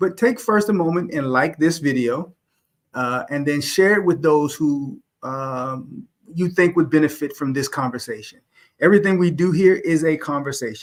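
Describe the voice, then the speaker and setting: A man with an ordinary speaking voice talks at a moderate pace. His pitch is fairly high and his intonation lively. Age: middle-aged. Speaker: YouTube host. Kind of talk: live stream discussion.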